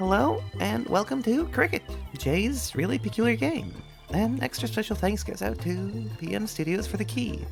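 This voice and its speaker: A moderate pace, with music in the background. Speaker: game reviewer. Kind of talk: scripted game review narration.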